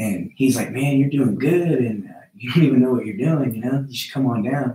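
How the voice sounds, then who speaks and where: The voice is dark and mellow, somewhat breathy, with lively intonation. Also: man. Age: 30s. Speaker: jiu-jitsu instructor and former MMA fighter. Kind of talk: casual interview chat.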